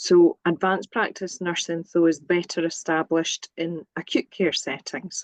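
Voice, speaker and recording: A woman with a Scottish accent speaks at a fairly low pitch with hardly any pauses, in a dry, close sound with no echo. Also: fairly even intonation, moderate pace. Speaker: nursing academic. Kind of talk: webinar presentation.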